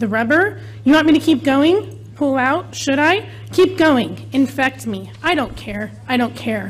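Faint music lingers in the background. Over it, a woman talks at a very slow pace. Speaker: parent giving public comment. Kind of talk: public comment reading. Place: hall. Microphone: podium.

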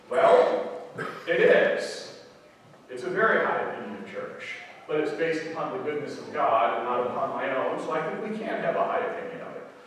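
A man speaks at a moderate pace in strong room echo, with light background noise. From Ireland. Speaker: preacher. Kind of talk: sermon. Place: church. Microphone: camera far.

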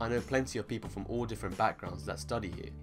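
A man talks while clear music can be heard behind him. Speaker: medical student vlogger. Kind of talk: casual vlog chat. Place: home room.

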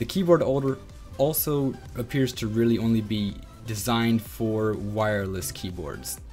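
Over faint background music, a man talks at a moderate pace with lively intonation. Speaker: flight simulator reviewer. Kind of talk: product review narration. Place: home room. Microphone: studio mic.

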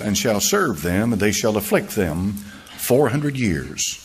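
A man talks at a moderate pace. His pitch swings very widely while music plays in the background. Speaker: pastor. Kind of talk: sermon preaching.

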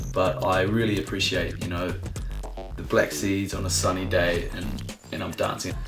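A man with a New Zealand accent speaks over clear music in the background. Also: moderate pace. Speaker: DJ and events manager. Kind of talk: casual talk to camera. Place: home room. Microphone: lapel.

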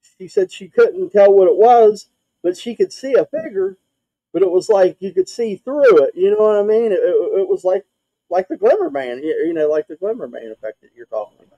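With an Appalachian accent, a man talks at a fairly quick pace, his loudness swinging widely. The sound is dry with no echo over a quiet background. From West Virginia. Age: 40s. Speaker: podcaster guest; show host. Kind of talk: casual chat. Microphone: video call.

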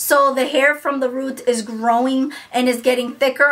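The voice is raised and projected, moving at a fairly slow pace. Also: woman. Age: 30s. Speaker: beauty YouTuber. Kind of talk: product review. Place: home room.

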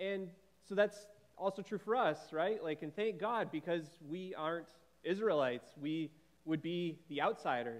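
A man's high voice at a moderate pace, with ordinary pitch variation. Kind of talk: welcome and short devotional. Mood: warm, light humor. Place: church.

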